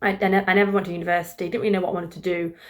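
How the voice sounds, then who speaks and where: In a British accent, a woman talks at a medium pitch. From England, East Midlands (Grantham). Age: 20s. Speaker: vlogger. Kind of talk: casual chat. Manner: casual, hesitant with fillers.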